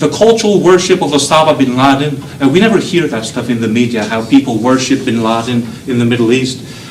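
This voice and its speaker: Someone with a Belgian accent speaks at a fairly quick pace. There is audible room echo and noticeable background noise. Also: man. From Belgium. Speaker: professor. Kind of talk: lecture. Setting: lecture hall with students. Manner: animated.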